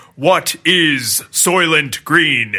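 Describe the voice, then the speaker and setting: A put-on character voice from a man, pitched fairly high. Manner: ominous, dramatic.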